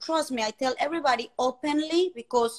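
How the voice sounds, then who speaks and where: At a fairly quick pace, a woman with a high pitch speaks in a Colombian accent, her intonation lively and the sound dry and close with no echo. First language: Spanish. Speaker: fertility community host. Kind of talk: live interview chat. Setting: livestream.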